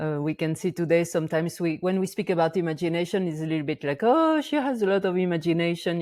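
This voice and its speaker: A woman speaks in a French accent with a fairly low pitch. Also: very clean recording, silent background. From France, Auvergne volcano region. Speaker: shamanic practitioner and teacher. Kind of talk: interview conversation. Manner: halting, many fillers.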